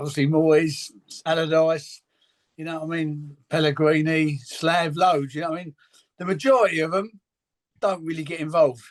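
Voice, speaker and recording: A man at a moderate pace, fairly high-pitched, with fairly even intonation. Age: 60s. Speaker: football academy coach. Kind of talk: interview. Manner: halting.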